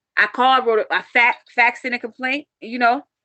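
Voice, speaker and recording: A woman speaks in a high pitch with a bright, sharp tone and an animated delivery, her sound dry and close with no echo. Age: 40s. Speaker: vlogger, parent in a custody dispute. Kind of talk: emotional live-stream rant.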